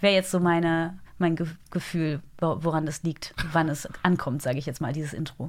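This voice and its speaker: A woman talks at a moderate pace in a plain, everyday voice. Her pitch is fairly low and her intonation fairly even. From Germany, Eifel. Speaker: TV news anchor and journalist. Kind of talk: interview. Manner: cheerful, laughs often.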